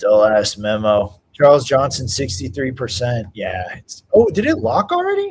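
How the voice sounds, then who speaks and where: The pace is fairly slow. The voice sounds somewhat breathy. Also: man. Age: 30s. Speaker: UFC livestream host. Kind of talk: casual live stream chat. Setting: live stream reading chat.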